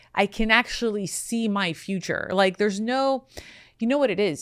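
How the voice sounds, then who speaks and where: Recorded very cleanly against a silent background, a woman with an ordinary speaking voice talks at a moderate pace and medium pitch, her intonation lively. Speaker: matchmaker, podcast host. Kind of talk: podcast conversation, advice.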